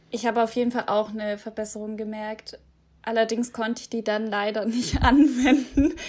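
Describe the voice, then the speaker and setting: A woman with an ordinary speaking voice, fairly high in pitch, with fairly even intonation, a moderate pace, and big swings in loudness. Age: 20s. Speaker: podcast host, former volunteer abroad. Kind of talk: scripted intro; casual interview.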